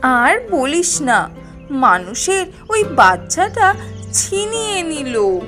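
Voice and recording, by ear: A woman performs a cartoonish character voice, high-pitched and bright and sharp, with big pitch swings at a slow pace. Faint music sits in the background.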